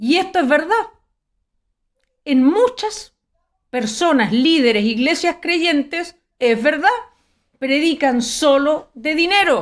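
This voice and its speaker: In a Chilean accent, a woman speaks at a high pitch with very wide pitch swings and very even loudness. Her pace is very slow, with long, frequent pauses. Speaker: preacher. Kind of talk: sermon. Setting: live stream.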